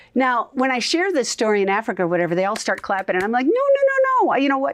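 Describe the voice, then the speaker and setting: A woman with an Upper Midwest accent talks at a high pitch. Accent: Upper Midwest American. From US Upper Midwest (Minnesota). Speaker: evangelist and radio host. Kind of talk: interview. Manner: loud; animated.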